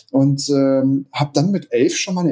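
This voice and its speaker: Somewhat breathy with a dark, mellow tone, a man talks at a moderate pace with a fairly high pitch and ordinary pitch variation. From Hamburg, northern Germany. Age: 30s. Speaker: DJ and music producer. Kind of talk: podcast interview. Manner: hesitant, many fillers.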